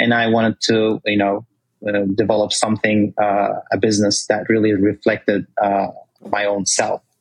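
With a Turkish accent, a man speaks at a fairly slow pace and a fairly low pitch, his intonation monotone and flat. The sound is dry and close with no echo, and his loudness stays very even. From Turkey. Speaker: olive oil company founder. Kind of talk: interview.

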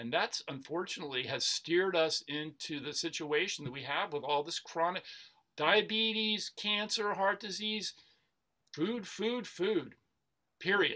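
Projecting a raised voice with an American accent, a man speaks at a fairly slow pace, his pitch high, his tone bright and sharp, and his intonation lively. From US South, Atlanta, Georgia. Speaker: plant-based nutrition educator. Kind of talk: interview.

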